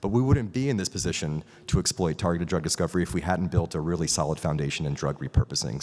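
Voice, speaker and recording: Very deep and low, a man's voice races at a very fast pace with lively intonation. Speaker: biotech company founder and CEO. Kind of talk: conference talk. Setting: stage with audience.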